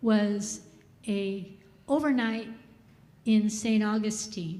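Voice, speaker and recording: In a room with audible echo, a woman with a fairly high, somewhat breathy voice and a dark, mellow tone speaks very slowly with fairly even intonation. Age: 70s. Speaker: congregation member. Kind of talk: testimony. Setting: church. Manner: halting.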